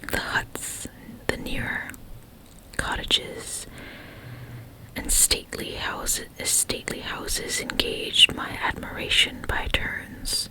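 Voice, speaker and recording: The voice is a whisper. There is noticeable background noise behind it. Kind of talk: ASMR book reading, bedtime story. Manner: whispered, soft.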